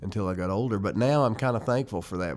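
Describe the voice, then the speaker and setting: This man talks at a very fast pace with an American accent. His pitch is fairly low, with ordinary variation. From Western North Carolina mountains (Jackson County). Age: 40s. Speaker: bluegrass musician. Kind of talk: interview.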